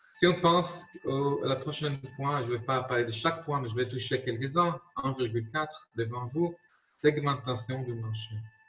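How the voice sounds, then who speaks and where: A man with an Israeli accent talks over music in the background. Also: medium pitch for a man, ordinary pitch variation, moderate pace. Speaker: marketing consultant. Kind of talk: lecture. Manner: halting, many repetitions.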